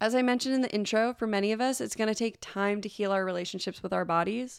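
A woman speaks at a fairly quick pace in an ordinary speaking voice with fairly high pitch and ordinary pitch variation, on a very clean recording with a silent background. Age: 30s. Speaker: advice podcast host. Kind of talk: solo podcast monologue. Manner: gentle, warm.

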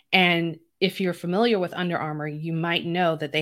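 A woman speaks at a fairly low pitch and a moderate pace, in a plain, everyday voice. The recording is very clean, with a silent background. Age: 40s. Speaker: podcast host and diabetes health coach. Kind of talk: solo podcast monologue. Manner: conversational.

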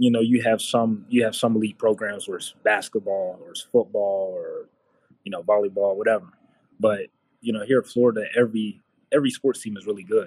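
In a plain, everyday voice, a man with an American accent talks at a fairly quick pace and fairly low pitch, his intonation fairly even but his loudness swinging widely, all in a dry, close sound with no echo. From Virginia (Radford). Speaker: basketball coach. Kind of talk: casual interview.

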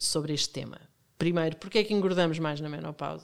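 Fairly low in pitch, a woman talks in an unremarkable speaking voice with fairly even intonation. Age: 50s. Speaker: podcast host. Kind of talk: interview.

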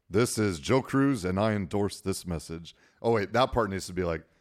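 On a very clean recording with a silent background, a man uses a normal speaking voice with lively intonation at a moderate pace. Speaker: wedding DJ. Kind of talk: casual podcast interview. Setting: studio. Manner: easygoing, joking.

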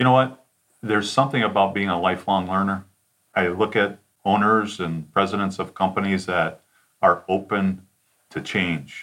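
This is an ordinary speaking voice with an American accent. The pace is moderate and the intonation fairly even. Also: man. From Detroit suburbs, Michigan. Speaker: sales consultant. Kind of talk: interview.

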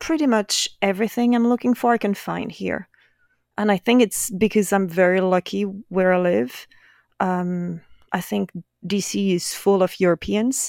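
In a very clean recording with a silent background, a woman of medium pitch speaks with a French accent at a moderate pace, the sound dry and close with no echo. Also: ordinary pitch variation. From France, Brittany. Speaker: painter. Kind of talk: casual chat.

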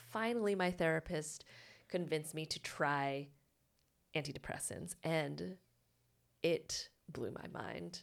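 A woman's very deep, low voice with vocal fry and ordinary pitch variation, at a fairly slow pace with long, frequent pauses. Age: 30s. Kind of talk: casual chat.

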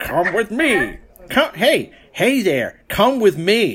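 This is a put-on character voice pitched fairly high. It moves very slowly, with very wide swings in pitch.

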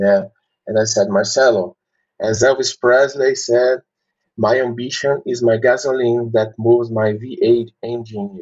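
The speaker has a Portuguese accent and a fairly slow pace. The intonation stays fairly even. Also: man, medium pitch for a man. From Brazil. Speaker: maxillofacial surgeon and mentor. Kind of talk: interview.

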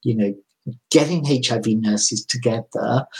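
A man talks at a moderate pace with a medium pitch and ordinary pitch variation. His voice comes across as somewhat breathy. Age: 50s. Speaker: nurse educator. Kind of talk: interview conversation.

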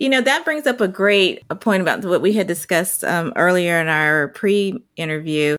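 An unremarkable speaking voice with lively intonation, very even loudness and a moderate pace, on a very clean recording with a silent background. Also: woman, medium pitch for a woman. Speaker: podcast host and leadership consultant. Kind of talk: interview conversation.

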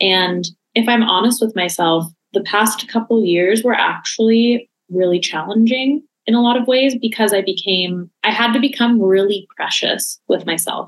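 A woman with an ordinary speaking voice talks at a moderate pace in a fairly high pitch. Her pitch varies in an ordinary way and her loudness stays very even. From Los Angeles. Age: 30s. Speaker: creative studio founder. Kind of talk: casual chat.

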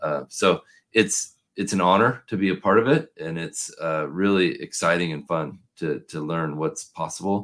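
The speaker has a West Coast US accent and lively intonation. The recording is very clean, with a silent background. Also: man, very deep, low pitch for a man, moderate pace. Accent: General American, West Coast. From US Pacific Northwest, Portland, Oregon. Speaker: packaging consultant and podcast host. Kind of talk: casual interview.

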